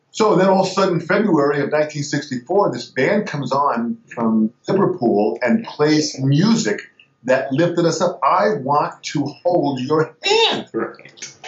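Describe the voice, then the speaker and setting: With music in the background, a man with an American accent speaks at a fairly slow pace, using lively intonation and a fairly high pitch. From Long Island, New York. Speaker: drummer and drum teacher. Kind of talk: interview. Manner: animated.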